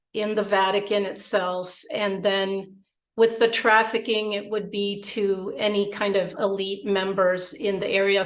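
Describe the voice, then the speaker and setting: Audible room echo surrounds a woman's medium-pitched voice. She speaks at a fairly slow pace. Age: 50s. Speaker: abuse survivor. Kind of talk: testimony. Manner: halting.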